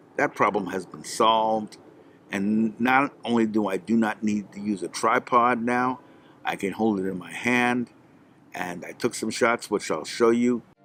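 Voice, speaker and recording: A normal speaking voice from a man, medium in pitch, with fairly even intonation and a fairly slow pace. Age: 60s. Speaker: tech video host. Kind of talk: product review. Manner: casual, with many fillers.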